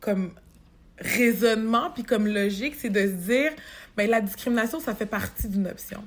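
A woman speaks at a fairly slow pace with a fairly high pitch and ordinary pitch variation. Her voice is somewhat breathy. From Quebec, Montreal. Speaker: human resources professional. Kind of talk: interview conversation.

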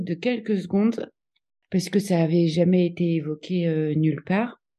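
A woman's dark, mellow voice. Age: 40s. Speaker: interviewee sharing personal experience. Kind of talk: testimony. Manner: hesitant, many filler sounds.

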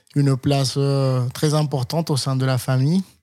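Recorded very cleanly over a silent background, a man speaks at a moderate pace with a dark, mellow tone and medium pitch. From Colombia, Cali. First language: Spanish (speaking French). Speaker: chef. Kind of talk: interview. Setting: in his restaurant.

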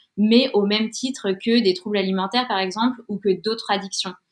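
A woman's normal speaking voice at a medium pitch, with fairly even intonation and a fairly quick pace. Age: 30s. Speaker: freelance communications writer sharing a health story. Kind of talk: testimony.

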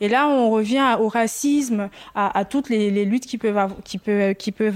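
This woman has an unremarkable speaking voice at a fairly high pitch. Her pitch variation is ordinary. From Ivory Coast. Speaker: podcast guest, Ivorian woman. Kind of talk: public panel discussion. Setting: live event with audience.

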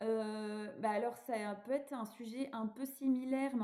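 A woman speaks in a normal speaking voice. Her pitch is fairly high, and her intonation stays fairly even. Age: 30s. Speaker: childfree activist and author. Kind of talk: casual chat.

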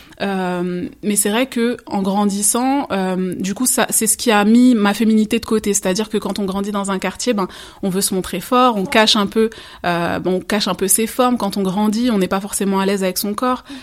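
At a moderate pace, a woman speaks in a normal speaking voice at a medium pitch, with fairly even intonation. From Seine-Saint-Denis, Paris suburbs, France. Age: 30s. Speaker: life coach and former social worker. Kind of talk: interview testimony.

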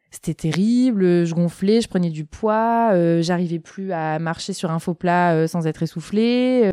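This woman has an ordinary speaking voice with a fairly low pitch. Her pitch variation is ordinary. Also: dry, close sound with no echo, very clean recording, silent background. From southern France, Marseille. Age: 30s. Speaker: general practitioner. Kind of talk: casual chat.

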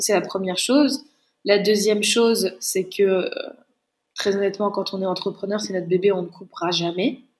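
Medium-pitched woman's voice at a moderate pace, with fairly even intonation. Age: 20s. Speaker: chef and business founder. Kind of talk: interview. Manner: halting.

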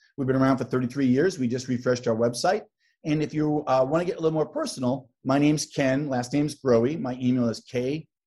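This man talks at a fairly quick pace with a medium pitch, a dark, mellow tone and fairly even intonation. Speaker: tech sales executive. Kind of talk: interview. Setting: video call.

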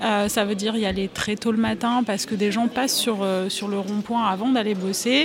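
Over noticeable background noise, a woman speaks at a moderate pace in a medium pitch with fairly even intonation. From France, small town in the region around Lyon. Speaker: journalist. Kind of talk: panel discussion. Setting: live recording at a journalism festival. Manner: halting, many hesitations.

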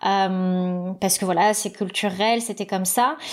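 Her intonation stays fairly even. The woman's voice sits at a medium pitch. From Paris suburbs, France (Seine-Saint-Denis). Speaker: podcaster and media creator. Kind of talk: interview. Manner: halting, many fillers and repetitions.

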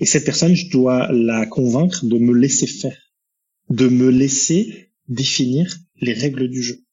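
A man speaks slowly-ish, at a fairly slow pace, with a medium pitch and ordinary pitch variation. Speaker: entrepreneur. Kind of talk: podcast interview. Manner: talkative.

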